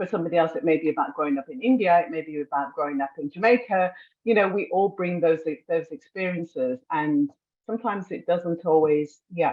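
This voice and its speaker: A woman with a British accent, fairly low in pitch, at a fairly quick pace with ordinary pitch variation. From England. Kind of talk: panel discussion.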